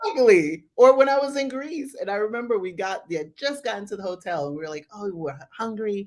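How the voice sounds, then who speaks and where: A woman with an American accent talks very fast in a medium pitch, barely pausing. Her tone is animated, with very wide pitch swings and big shifts in loudness. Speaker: travel podcast host, guest interviewee. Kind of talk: casual interview on livestream. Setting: live stream.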